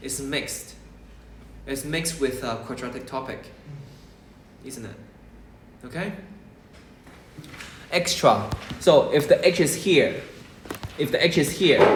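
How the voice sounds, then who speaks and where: The speaker talks at a fairly slow pace with long, frequent pauses and big swings in loudness. Pitch variation is ordinary, and audible room echo surrounds the voice. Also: man. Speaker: maths tutor. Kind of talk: lesson.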